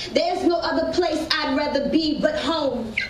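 In a room with audible echo and light background noise, a woman talks at a fairly slow pace with ordinary pitch variation. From US South, New Orleans; Louisiana. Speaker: spoken word poet. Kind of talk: spoken word performance. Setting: stage with audience. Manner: animated. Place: stage.

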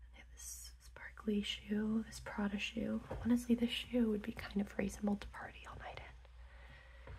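The voice is soft-spoken, with hardly any pauses. Light background noise runs underneath. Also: moderate pace. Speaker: ASMR creator. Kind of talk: ASMR magazine flip-through.

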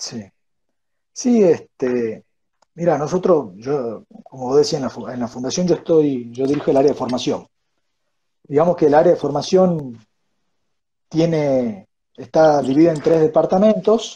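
A man's fairly high, somewhat breathy voice with a dark, mellow tone and lively intonation, at a fairly slow pace with long, frequent pauses. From Argentina. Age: 30s. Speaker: think-tank education director; interview guest. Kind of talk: interview conversation. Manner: halting, many fillers. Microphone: wireless earphones, poor audio; earbuds.

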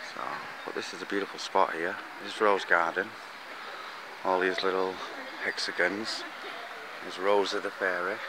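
A man speaks at a moderate pace in a very deep, low voice with flat, monotone intonation, taking long, frequent pauses, in a dry recording with no echo but noticeable background noise. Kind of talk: casual vlog chat. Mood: cheerful, relaxed. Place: garden. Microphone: phone near.

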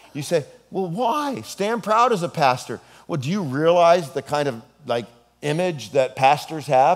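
A man speaks fairly slowly, and the background is quiet. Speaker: pastor. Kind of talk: sermon. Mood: humorous storytelling. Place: hall.

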